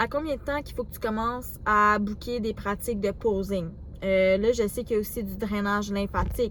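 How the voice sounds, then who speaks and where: Someone with a Quebec accent speaks at a moderate pace with hardly any pauses and fairly even intonation, with audible room echo. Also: woman, medium pitch for a woman. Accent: Québécois French. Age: 20s. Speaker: vlogger, student bodybuilder. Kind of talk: casual vlog talk to camera. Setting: gym. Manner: hesitant, filler words.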